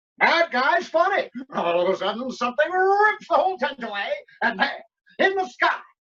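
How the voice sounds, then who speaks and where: Delivered at a moderate pace, this put-on character voice sits high in pitch and swings very widely. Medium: audio drama. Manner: brash, jokey.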